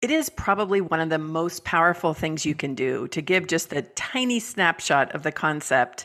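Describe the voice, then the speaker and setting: With a Californian accent, a woman speaks at a moderate pace in a fairly low pitch, with hardly any pauses. Her tone is bright and sharp. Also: lively intonation. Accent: Californian American. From US West Coast, San Francisco Bay Area. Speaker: business coach and author. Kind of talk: podcast interview.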